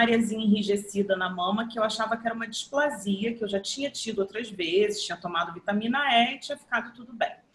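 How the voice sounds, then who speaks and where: A woman with a plain, everyday voice speaks at a fairly high pitch. Her intonation is lively. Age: 50s. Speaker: photographer and journalist, breast cancer survivor. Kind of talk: testimony.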